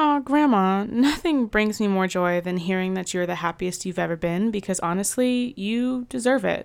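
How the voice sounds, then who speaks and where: With hardly any pauses, a woman speaks in a plain, everyday voice at a medium pitch with lively intonation, on a very clean recording with a silent background. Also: moderate pace. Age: 20s. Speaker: podcast host. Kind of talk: interview.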